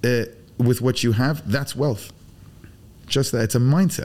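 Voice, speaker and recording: A man's voice sits at medium pitch with a dark, mellow tone. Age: 40s. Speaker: BBQ pitmaster. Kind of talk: casual chat. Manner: animated.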